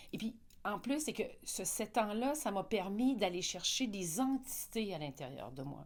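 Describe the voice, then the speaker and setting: Her medium-pitched voice showing vocal fry, a woman speaks with very wide pitch swings. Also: fairly slow pace. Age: 60s. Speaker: interviewee on personal growth. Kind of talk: interview. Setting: live event.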